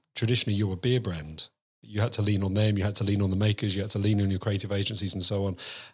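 In a very clean recording with a silent background, a man with an English accent speaks at a fairly low pitch, somewhat breathy. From England. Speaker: podcast host. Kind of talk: interview.

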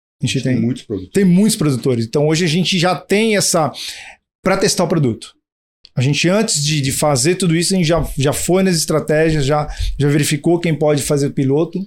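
Speaking at a fairly quick pace, a man with a fairly high pitch uses an ordinary speaking voice and ordinary pitch variation. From Brazil, São Paulo. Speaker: startup co-founder. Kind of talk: interview.

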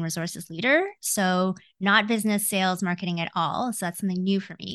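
A woman with a Canadian accent uses a normal speaking voice at medium pitch. She moves at a fairly quick pace with fairly even intonation over a quiet background. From Canada (born Hong Kong, came as baby). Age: 40s. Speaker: executive coach. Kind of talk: casual interview.

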